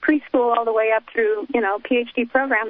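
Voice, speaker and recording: A woman speaks at a moderate pace in a fairly high voice. Her intonation stays fairly even. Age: 60s. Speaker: caller. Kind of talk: call-in to talk radio. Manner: halting.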